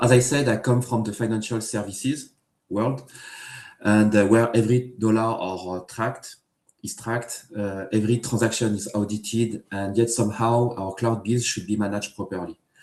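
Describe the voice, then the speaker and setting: This man speaks with a French accent at a medium pitch. His pace is moderate and his intonation monotone and flat. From France. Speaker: engineering manager. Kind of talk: tech talk interview. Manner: hesitant, many fillers.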